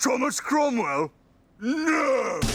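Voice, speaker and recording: Using a put-on character voice, a man performs. His pitch is extremely high. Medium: comedy sketch. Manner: jovial, laughing, bluff.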